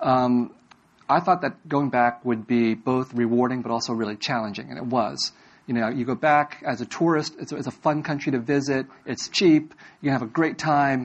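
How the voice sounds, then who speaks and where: Medium in pitch, this man has an unremarkable speaking voice. He talks at a moderate pace with ordinary pitch variation. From Vietnam-born, raised in US. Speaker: author and English professor. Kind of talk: lecture and audience Q&A. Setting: stage with audience on college campus.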